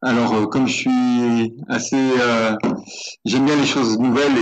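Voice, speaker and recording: Using ordinary pitch variation, a man talks at a moderate pace in a medium pitch. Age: 50s. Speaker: ultra runner. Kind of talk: interview. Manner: halting, many hesitations.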